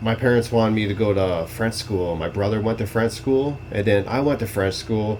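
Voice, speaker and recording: A man with a Canadian accent speaks at a moderate pace, with hardly any pauses, a fairly low pitch and fairly even intonation. Noticeable background noise sits behind him. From Ontario, Canada. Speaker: podcast co-host. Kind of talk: casual chat.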